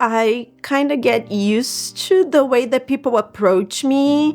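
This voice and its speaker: A woman with a Brazilian accent speaks at a very slow pace with a fairly high pitch. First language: Portuguese. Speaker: immigrant sharing personal story, psychologist. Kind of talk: personal testimony. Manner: halting, self-correcting.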